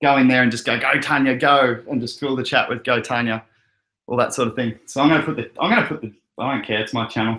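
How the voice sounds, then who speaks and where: A man with an Australian accent at medium pitch and a fairly quick pace. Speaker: crypto livestream host. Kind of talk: casual chat. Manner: animated.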